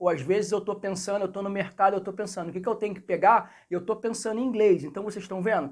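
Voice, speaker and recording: Speech in a Rio de Janeiro accent comes across with an animated tone. The recording is very clean, the background silent. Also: man. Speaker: English teacher. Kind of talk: tutorial.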